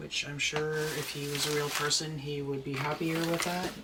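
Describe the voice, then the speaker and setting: A moderate pace over noticeable background noise. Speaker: doll collector and author. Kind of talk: casual unboxing chat.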